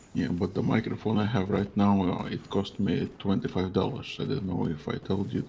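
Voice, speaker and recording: Against noticeable background noise, a man with a fairly low pitch talks fairly quickly with ordinary pitch variation and hardly any pauses. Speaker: video game streamer. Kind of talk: casual chat. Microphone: cheap twenty-five dollar microphone.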